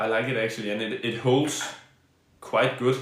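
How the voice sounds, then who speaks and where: The speaker is a man with a Danish accent. Room echo is audible in the clip. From Denmark. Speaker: badminton player and streamer. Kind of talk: live stream gear review and Q&A. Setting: live stream. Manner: halting, many fillers and restarts.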